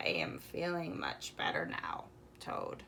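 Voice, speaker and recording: A woman's raspy, put-on character voice at a fairly slow pace, over light background noise. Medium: read story.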